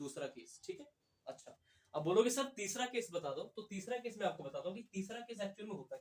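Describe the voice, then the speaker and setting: A man at a high pitch, with very wide pitch swings and a moderate pace. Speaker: exam prep teacher. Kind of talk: lecture.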